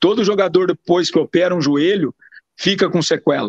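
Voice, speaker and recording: The sound is dry and close with no echo as a man speaks at a high pitch and a moderate pace. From Piracicaba, São Paulo state, Brazil. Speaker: football agent. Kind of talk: interview.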